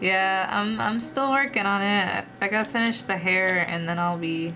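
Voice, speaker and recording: Audible room echo carries a woman's medium-pitched voice. She talks at a moderate pace with lively intonation. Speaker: VTuber streamer and artist. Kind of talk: casual livestream chat while drawing. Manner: halting, repeats words.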